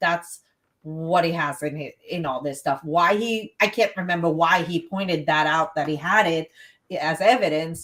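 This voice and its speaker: A woman with a Texas accent. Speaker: podcast co-host, emergency dispatcher. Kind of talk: casual chat.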